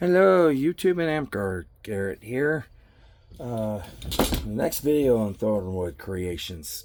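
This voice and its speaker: A man at a very slow pace with very wide pitch swings. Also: medium pitch for a man. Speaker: hobbyist weapon builder. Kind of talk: tutorial. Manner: casual, with fillers.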